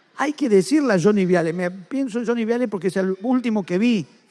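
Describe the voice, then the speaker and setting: Lively intonation marks this man's speech at a fairly quick pace. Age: 50s. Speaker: writer. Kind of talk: public interview at a book festival.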